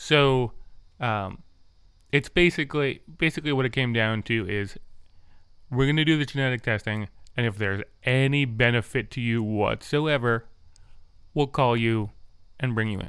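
On a very clean recording with a silent background, a man with medium pitch talks at a moderate pace with long, frequent pauses. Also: ordinary pitch variation. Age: 30s. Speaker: podcast host with vision loss. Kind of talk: casual chat. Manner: animated.

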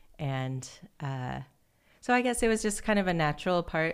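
A woman with an American accent speaks on a very clean recording against a silent background. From US Midwest (Fairfield, Iowa). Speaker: film writer-director. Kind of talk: interview conversation.

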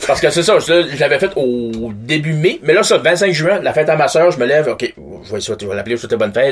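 A fairly high-pitched man at a fairly quick pace, lively intonation, and noticeable background noise. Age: 40s. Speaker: podcast guest. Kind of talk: casual chat.

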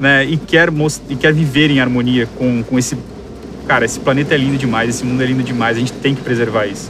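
Speaking at a very fast pace, a man with a medium pitch keeps a fairly even intonation amid noticeable background noise and audible room echo. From Brazil, Guarujá (São Paulo coast). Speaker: environmental engineer. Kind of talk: casual interview.

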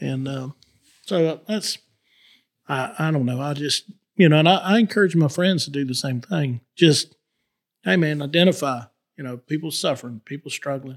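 The speaker talks at a moderate pace in a Southern US accent, with ordinary pitch variation and long, frequent pauses. The sound is dry and close with no echo. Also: man, fairly high pitch for a man. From north Florida. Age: 50s. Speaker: farmer and cattleman. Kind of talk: casual interview chat. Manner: halting, with many repetitions.

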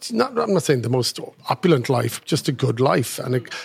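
A man with a medium pitch speaks with a husky, rough edge, vocal fry, and big pitch swings. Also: moderate pace.

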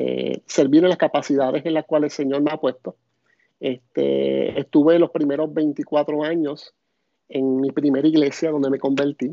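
With a Puerto Rican accent, a man talks in a fairly high pitch and a flat, monotone delivery. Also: fairly slow pace. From Puerto Rico. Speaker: pastor. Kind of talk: casual chat. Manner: halting.

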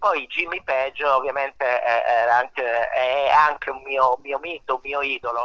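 Delivered at a fairly slow pace with hardly any pauses and fairly even intonation, the voice has a dry, close sound with no echo, though noticeable background noise is present. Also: man, fairly high pitch for a man. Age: 50s. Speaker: musician and songwriter. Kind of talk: casual radio interview. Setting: outdoors under a portico.

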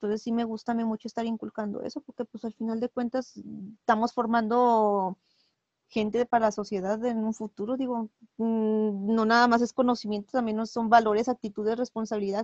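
Fairly high-pitched woman at a moderate pace, monotone and flat, in a dry, close sound with no echo. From Mexico. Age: 30s. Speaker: preschool teacher and cosplayer. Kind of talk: casual interview chat.

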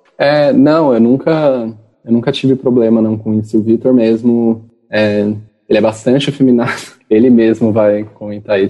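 A man with a plain, everyday voice speaks at a medium pitch and moderate pace with fairly even intonation. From interior of São Paulo state, Brazil. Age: 20s. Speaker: geography student. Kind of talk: interview. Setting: video call.

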